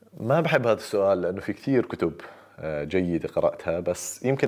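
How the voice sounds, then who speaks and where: This man speaks with a Jordanian accent at a fairly low pitch. His intonation is lively, and his pace is moderate. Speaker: doctor and YouTuber; YouTuber. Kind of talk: casual Q&A monologue. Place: home room.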